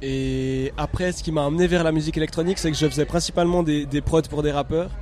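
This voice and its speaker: A fairly high-pitched man at a fairly quick pace with fairly even intonation, set against noticeable background noise. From Switzerland, Neuchâtel. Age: 30s. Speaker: electronic music producer. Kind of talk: casual interview. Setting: music festival. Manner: halting.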